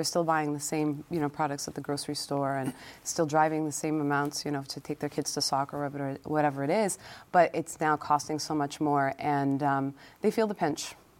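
A woman speaks at a moderate pace with a very deep, low pitch and monotone, flat intonation. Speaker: legislator. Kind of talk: panel discussion.

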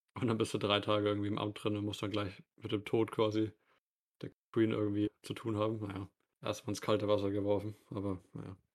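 The speech comes at a fairly quick pace in a flat monotone, on a very clean recording with a silent background. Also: man, fairly low pitch for a man. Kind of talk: casual chat.

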